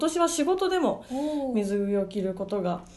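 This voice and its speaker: The woman's pitch swings very widely at a moderate pace, with noticeable background noise underneath. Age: 20s. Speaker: radio talk show co-host, idol/entertainer. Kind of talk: casual chat. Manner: animated, laughing often.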